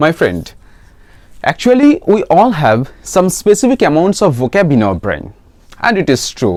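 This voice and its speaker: A man with a Bengali accent speaks at a high pitch, his voice making very wide pitch swings and broken by long, frequent pauses. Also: moderate pace. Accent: Bengali-accented Indian English. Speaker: English teacher. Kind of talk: tutorial.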